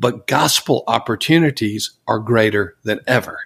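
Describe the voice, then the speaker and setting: An unremarkable speaking voice from a man, lively in intonation at a moderate pace, on a very clean recording with a silent background. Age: 60s. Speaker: church consultant and author. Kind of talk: interview.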